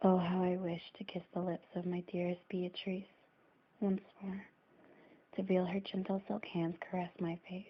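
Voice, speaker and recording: Soft-spoken and somewhat breathy, a woman speaks at a fairly slow pace with long, frequent pauses, a medium pitch, and monotone, flat intonation. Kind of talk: soft-spoken ASMR story reading. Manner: soft-spoken, hesitant reader.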